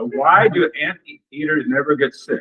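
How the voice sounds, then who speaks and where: A man talks with a Midwestern American accent. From US Midwest, Missouri. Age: 70s. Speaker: retired university dean. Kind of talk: personal introduction talk at club meeting.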